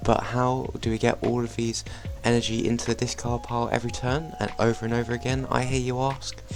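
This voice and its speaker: A man with a British accent at a fairly quick pace, music in the background. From Britain. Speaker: trading card game YouTuber. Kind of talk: gameplay commentary; deck overview tutorial. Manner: casual, some filler words.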